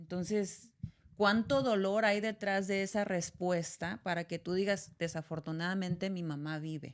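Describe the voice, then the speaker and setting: A woman with a northern Mexican accent, medium in pitch, fairly slow, with ordinary pitch variation. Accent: northern Mexican (Sonoran) Spanish. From Sonora, Mexico. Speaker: podcast host. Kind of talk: casual chat.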